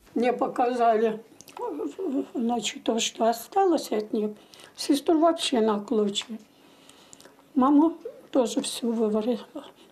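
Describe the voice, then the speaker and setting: Very slow speech with long, frequent pauses, ordinary pitch variation, and noticeable background noise. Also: woman, high pitch for a woman. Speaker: siege survivor interviewee. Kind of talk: interview recollection.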